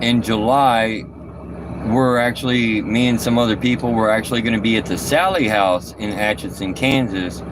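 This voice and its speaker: A man talking at a medium pitch is heard with noticeable background noise and audible room echo. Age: 40s. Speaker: trucker and paranormal investigator. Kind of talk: casual live stream chat. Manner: halting.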